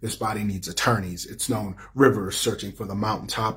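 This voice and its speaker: A man with a plain, everyday voice talks at a fairly quick pace, his fairly low pitch held to a fairly even intonation. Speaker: poet and playwright. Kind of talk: spoken word poetry performance. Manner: rhythmic.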